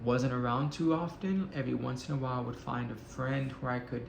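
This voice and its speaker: Noticeable background noise sits behind the speech. A man talks at a moderate pace with an American accent. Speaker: military veteran. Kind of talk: personal story told to camera. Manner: casual, candid.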